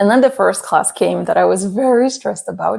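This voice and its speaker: A woman speaks in a Polish accent. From Poland. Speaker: language learning content creator. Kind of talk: casual vlog talk. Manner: hesitant with fillers.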